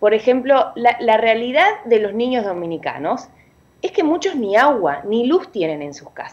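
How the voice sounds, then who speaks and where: A woman with a high voice speaks fairly slowly, her pitch swinging very widely. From Uruguay. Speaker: parent activist. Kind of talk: radio interview. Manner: animated.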